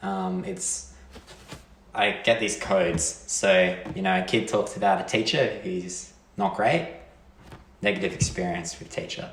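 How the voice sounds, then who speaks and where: A man with an Australian accent at a fairly slow pace, with long, frequent pauses and audible room echo. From Australia, rural Victoria. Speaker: PhD student. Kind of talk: casual chat.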